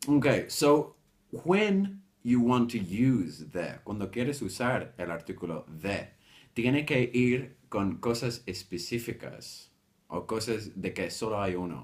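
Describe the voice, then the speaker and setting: A man with medium pitch speaks at a fairly slow pace. His pitch swings very widely. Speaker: English teacher. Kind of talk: lesson.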